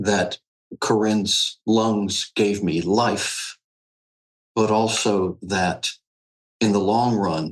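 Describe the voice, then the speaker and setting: A man's fairly low voice, fairly even in intonation, at a very slow pace with long, frequent pauses. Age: 60s. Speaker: patient advocate. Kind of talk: interview. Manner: halting.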